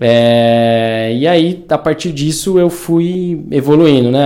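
The voice has a dark, mellow tone and ordinary pitch variation and moves at a very slow pace. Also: man. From interior of São Paulo state, Brazil. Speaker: triathlete. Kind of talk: casual chat.

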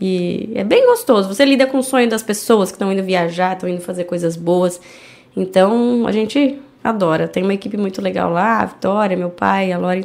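This woman has a normal speaking voice, talking at a moderate pace with ordinary pitch variation. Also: medium pitch for a woman. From Brazil, Indaiatuba (São Paulo state). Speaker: entrepreneur and animal charity founder. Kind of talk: casual interview.

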